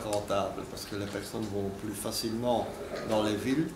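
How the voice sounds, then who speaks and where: Amid noticeable background noise and audible room echo, a man of medium pitch talks at a fairly slow pace with ordinary pitch variation. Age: 60s. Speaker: computer trainer. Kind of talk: interview. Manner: halting, with repetitions.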